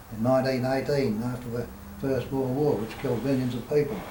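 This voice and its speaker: Against noticeable background noise, a man with an Australian accent talks at a very fast pace and a medium pitch. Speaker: spiritual teacher. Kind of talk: spiritual talk at a meeting.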